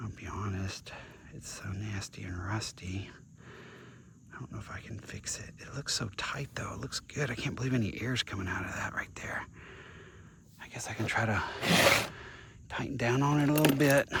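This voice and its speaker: A man whispers with big swings in loudness and long, frequent pauses over noticeable background noise. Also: moderate pace. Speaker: vlogger, single dad. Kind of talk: casual vlog narration while working.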